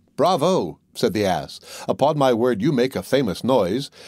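With lively intonation and vocal fry, a man speaks at a medium pitch in a dry, close sound with no echo. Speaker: audiobook narrator. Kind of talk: bedtime storytelling, scripted fairy-tale narration read aloud.

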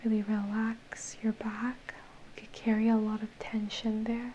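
A woman speaks at a fairly slow pace with a dark, mellow tone and fairly high pitch. Her pitch barely moves, and faint background noise sits underneath.

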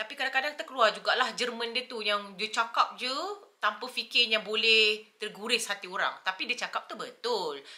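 Pitch moves with ordinary variation. The speech keeps a moderate pace. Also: woman, fairly high pitch for a woman. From Malaysia. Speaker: YouTuber. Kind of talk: casual chat. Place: home room. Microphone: camera far.

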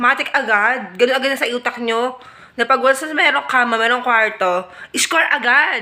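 Noticeable background noise behind a high female voice, with a moderate pace and ordinary pitch variation. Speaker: vlogger. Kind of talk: scripted casual monologue. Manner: animated.

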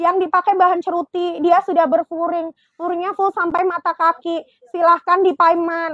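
A woman speaks at an extremely high pitch and a moderate pace with monotone, flat intonation, the sound dry with no echo and the background quiet. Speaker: live-selling fashion seller. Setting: online live selling stream. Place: shop. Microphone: lapel.

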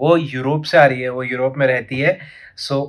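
Over a quiet background, the speech moves at a fairly slow pace with monotone, flat intonation. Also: man. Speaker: fitness vlogger. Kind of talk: casual vlog chat.

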